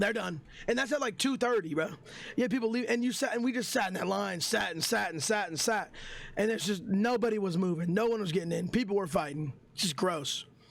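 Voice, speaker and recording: A man's high-pitched, animated voice at a fairly quick pace, on a very clean recording with a silent background. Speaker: streamer. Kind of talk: storytime vlog. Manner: loud, animated.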